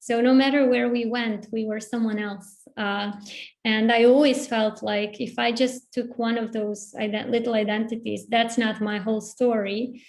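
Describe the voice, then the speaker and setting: Someone with a Bosnian accent speaks at a moderate pace in a monotone, flat intonation. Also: woman, fairly high pitch for a woman. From Bosnia (born in Zagreb, Croatia). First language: Bosnian/Serbo-Croatian. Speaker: writer. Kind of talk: panel discussion. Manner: halting.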